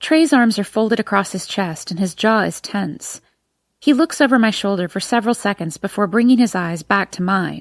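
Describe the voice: Someone reads aloud plainly, and the background is quiet.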